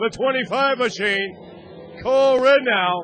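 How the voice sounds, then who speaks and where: Music plays behind a man whose voice is extremely high-pitched. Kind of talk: live race commentary.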